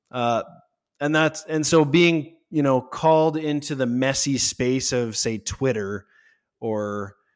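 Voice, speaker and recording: In a plain, everyday voice, a man speaks at a fairly slow pace and medium pitch with lively intonation. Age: 30s. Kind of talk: interview.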